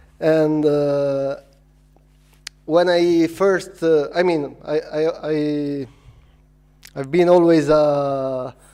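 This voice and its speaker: In a non-native accent, the speaker talks with monotone, flat intonation. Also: man. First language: not English. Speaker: filmmaker and VR producer. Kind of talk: conference talk. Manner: halting, many fillers.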